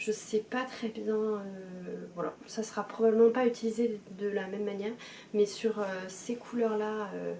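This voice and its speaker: With noticeable background noise behind her, a woman speaks fairly slowly in a fairly high, monotone voice with flat intonation and long, frequent pauses. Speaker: knitting podcaster. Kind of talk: casual chat. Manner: hesitant, many fillers.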